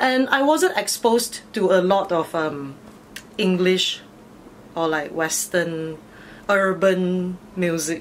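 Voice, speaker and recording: At a very slow pace with long, frequent pauses, a woman talks at medium pitch with ordinary pitch variation over light background noise. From Malaysia, Batu Pahat, Johor. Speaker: DJ and fitness instructor. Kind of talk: casual interview chat. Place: home room.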